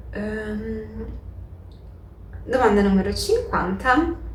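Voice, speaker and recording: Over noticeable background noise and audible room echo, a woman speaks with a Portuguese accent. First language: Portuguese (speaking Italian). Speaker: book YouTuber. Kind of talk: casual vlog Q&A.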